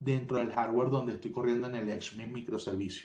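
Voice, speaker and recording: A man speaks in a somewhat breathy voice with a Venezuelan accent. Room echo can be heard. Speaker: tech company solutions expert. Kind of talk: webinar presentation.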